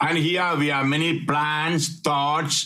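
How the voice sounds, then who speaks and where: A man with a fairly high pitch, a bright, sharp tone and fairly even intonation, at a very slow pace against a quiet background. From India. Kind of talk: sermon. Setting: online retreat. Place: home room. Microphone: webcam.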